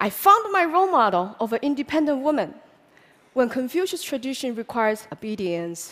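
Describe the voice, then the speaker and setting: With a Chinese accent, a woman speaks high in pitch at a moderate pace, her pitch swinging very widely. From China, Hunan. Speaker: public speaker. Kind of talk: talk to an audience.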